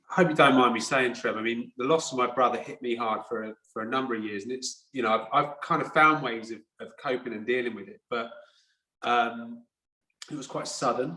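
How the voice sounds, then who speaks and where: This man has a plain, everyday voice at a medium pitch, with ordinary pitch variation. He talks at a fairly quick pace, and his loudness swings widely. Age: 40s. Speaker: podcast host. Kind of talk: interview conversation.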